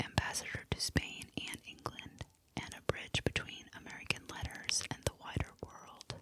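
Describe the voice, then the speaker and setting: Whispering in a calm tone, a woman speaks at a fairly slow pace over noticeable background noise. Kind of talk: historical narration. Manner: whispered; soft, calm.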